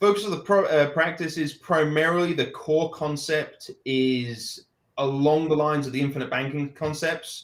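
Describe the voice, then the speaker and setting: A man's fairly high-pitched voice with a London accent and fairly even intonation. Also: moderate pace, hardly any pauses. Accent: British, from London. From England, London. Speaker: financial advisor. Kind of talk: interview. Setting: live video stream.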